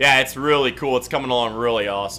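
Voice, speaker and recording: Loud and animated, a man talks very fast at a medium pitch with a bright, sharp tone. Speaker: gaming livestreamer. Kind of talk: live gameplay stream chat.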